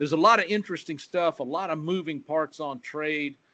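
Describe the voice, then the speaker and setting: A man with an unremarkable speaking voice talks at a moderate pace with a fairly high pitch. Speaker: agricultural economist. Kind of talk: webinar presentation.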